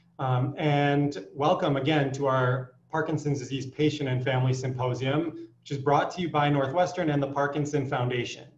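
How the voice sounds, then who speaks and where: Audible room echo surrounds a man who speaks at a moderate pace with fairly even intonation. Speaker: physician host. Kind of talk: welcome address. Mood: warm, welcoming. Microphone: video call.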